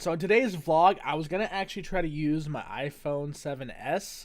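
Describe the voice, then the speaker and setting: In an animated tone, a man talks at a fairly slow pace. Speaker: gaming vlogger. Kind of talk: casual vlog monologue.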